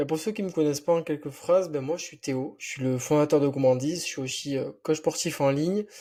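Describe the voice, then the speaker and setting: On a very clean recording with a silent background, a man with a dark, mellow tone and fairly high pitch talks at a fairly quick pace with hardly any pauses, ordinary pitch variation and big swings in loudness. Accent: slight southwestern French. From French Basque Country, near Biarritz. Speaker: entrepreneur and online fitness coach. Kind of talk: casual podcast interview. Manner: casual, many fillers.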